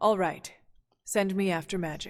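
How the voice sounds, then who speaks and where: A woman's put-on character voice at medium pitch, at a moderate pace. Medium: video game. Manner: even, measured.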